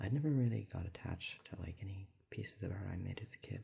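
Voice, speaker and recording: The voice is whispering. It sounds somewhat breathy. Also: man. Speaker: ASMR creator. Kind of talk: ASMR talking while drawing. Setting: at home alone. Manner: whispering or talking low; soft-spoken.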